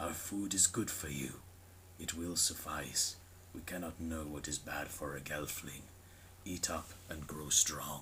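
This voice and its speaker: Putting on a character voice, a man speaks very deep and low at a fairly slow pace, with clear background noise behind him. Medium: read story. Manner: slow, gentle, solemn.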